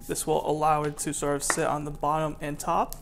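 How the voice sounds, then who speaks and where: Light background noise accompanies a man speaking at a moderate pace. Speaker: home cook vlogger. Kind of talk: cooking tutorial. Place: kitchen.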